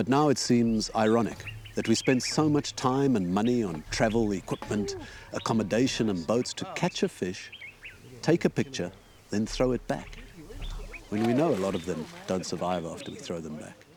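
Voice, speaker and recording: Over noticeable background noise, a man at medium pitch talks at a moderate pace with lively intonation. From South Africa, Johannesburg. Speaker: documentary presenter, recreational fisher. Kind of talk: documentary narration.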